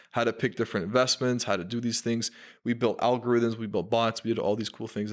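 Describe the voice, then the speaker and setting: Speaking at a very fast pace with fairly even intonation, a man is heard in a very clean recording with a silent background. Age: 20s. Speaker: marketing agency founder. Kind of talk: casual chat. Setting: studio.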